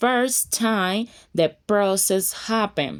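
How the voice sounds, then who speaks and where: In a Colombian accent, a woman speaks at a very slow pace with a medium pitch. Her pitch variation is ordinary, and the recording is very clean with a silent background. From Colombia (Buenaventura). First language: Spanish. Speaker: fashion design and sewing teacher. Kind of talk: casual tutorial talk to camera.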